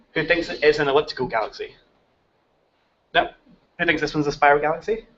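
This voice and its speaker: Talking very fast, a man with a fairly high pitch speaks in a strong Scottish accent. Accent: Scottish, thick. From Scotland. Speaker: technical lead of a citizen science project, speaker. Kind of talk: workshop presentation to teachers.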